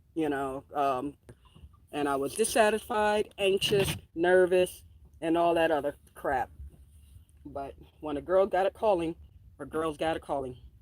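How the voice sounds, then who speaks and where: A woman with a New York accent speaks in a fairly low voice, leaving long, frequent pauses. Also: ordinary pitch variation, fairly slow pace. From New York City, Queens. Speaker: homesteader and farm vlogger. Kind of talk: casual vlog chat. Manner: animated.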